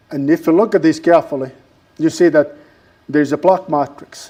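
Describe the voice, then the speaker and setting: This man's voice has a dark, mellow tone and a fairly high pitch. He talks at a fairly quick pace with fairly even intonation. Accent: strong non-native. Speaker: university lecturer. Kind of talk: lecture. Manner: halting, many fillers.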